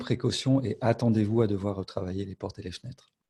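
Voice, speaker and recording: Dark and mellow in tone, a man's fairly low voice carries fairly even intonation. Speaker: BIM specialist presenting software. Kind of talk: webinar software demo. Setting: online webinar.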